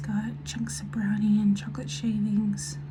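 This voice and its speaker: A woman speaks at a very deep, low pitch with ordinary pitch variation. Noticeable background noise and audible room echo fill the recording. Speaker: weight loss vlogger. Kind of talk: casual video diary. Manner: soft-spoken.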